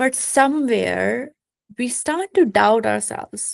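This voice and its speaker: A woman talks at a fairly slow pace. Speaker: self-help video creator. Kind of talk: motivational talk to camera.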